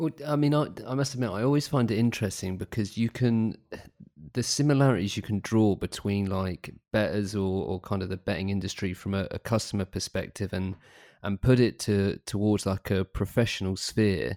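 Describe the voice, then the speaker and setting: A man with a British accent, a fairly low pitch and a dark, mellow tone, at a moderate pace with ordinary pitch variation, in a dry, close sound with no echo on a very clean recording with a silent background. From UK. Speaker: podcast host. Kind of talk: casual interview.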